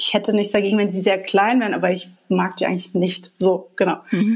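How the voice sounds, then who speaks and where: Speaking at a moderate pace, a woman uses fairly even intonation with vocal fry. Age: 40s. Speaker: graphic designer sharing coming-out story. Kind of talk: personal interview, telling life story. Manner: hesitant, many fillers and laughs.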